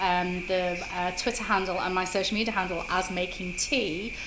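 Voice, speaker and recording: Over noticeable background noise and audible room echo, a woman talks with a British accent. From Britain. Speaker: social media marketer. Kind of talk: interview.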